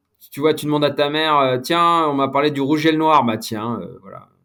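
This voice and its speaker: The man talks at a fairly quick pace. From France, Besançon. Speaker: sports journalist. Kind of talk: casual interview. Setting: podcast. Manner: hesitant, many fillers.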